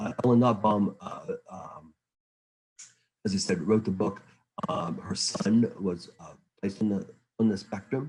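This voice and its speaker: A somewhat breathy man speaks at a fairly low pitch and a fairly slow pace, with ordinary pitch variation. His loudness swings widely, and he leaves long, frequent pauses. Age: 60s. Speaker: early childhood education consultant. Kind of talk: lecture. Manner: halting, many fillers and repetitions.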